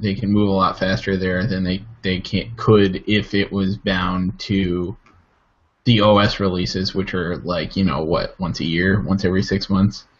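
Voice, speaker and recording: Monotone and flat, a man talks at a fairly slow pace in a fairly low pitch. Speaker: tech podcast co-host. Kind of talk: casual chat. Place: home room. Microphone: webcam.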